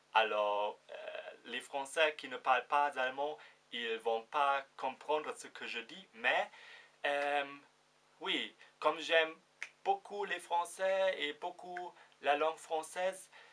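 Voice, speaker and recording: A man with a German accent speaks at a very slow pace, his fairly high voice bright and sharp in tone, with lively intonation, big swings in loudness and long, frequent pauses. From Germany. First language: German (speaking French). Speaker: vlogger. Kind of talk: casual vlog. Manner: halting, many fillers.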